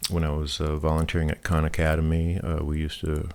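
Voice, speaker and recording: Over a very clean, silent background, a man mumbles at a moderate pace in a very deep, low pitch. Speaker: programming YouTuber. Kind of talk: casual talk to camera. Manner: hesitant, many fillers; mumbling.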